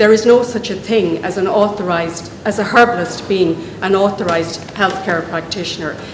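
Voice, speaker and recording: A woman with a Dublin accent speaks with fairly even intonation. There is audible room echo and noticeable background noise. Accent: Irish (Dublin). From Ireland. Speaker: medical herbalist, professional association representative. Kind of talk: public speech at a meeting. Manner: hesitant, with fillers and restarts.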